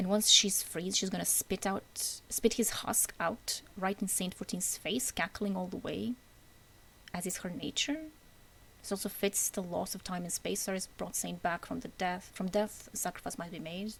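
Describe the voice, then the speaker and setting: A woman whispers quietly with vocal fry. She keeps a moderate pace. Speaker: gaming lore commentator. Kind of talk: unscripted casual rant about video game lore. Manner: semi-whispered, quiet.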